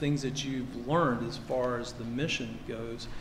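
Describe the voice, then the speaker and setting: A man speaks at a medium pitch with a Kentucky accent. Noticeable background noise and audible room echo surround him. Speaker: navy admiral. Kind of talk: ceremony speech. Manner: halting, many fillers.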